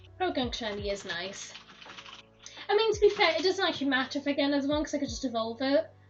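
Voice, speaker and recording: Very fast speech with very wide pitch swings and noticeable background noise. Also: woman, high pitch for a woman. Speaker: streamer. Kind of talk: casual live-stream chat.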